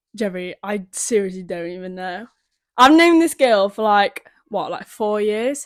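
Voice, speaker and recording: Speaking in a Yorkshire accent at a fairly slow pace, a woman with a medium pitch uses lively intonation and big swings in loudness. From Sheffield, northern England. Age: young. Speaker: podcast guest. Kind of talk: casual chat. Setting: at home.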